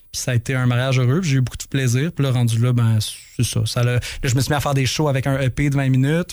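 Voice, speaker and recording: Speaking at a very fast pace, a man holds a medium pitch in a monotone, flat intonation. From Quebec, Saint-Hubert (Montreal South Shore). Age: 30s. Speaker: rock musician. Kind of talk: interview. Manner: halting.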